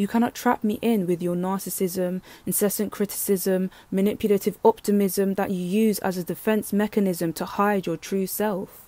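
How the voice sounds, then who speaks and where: A woman speaks at a moderate pace and medium pitch in a dark, mellow, monotone voice with flat intonation and hardly any pauses. The sound is dry and close, with no echo. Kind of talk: spoken word poetry performance. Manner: pointed, defiant, building to pleading.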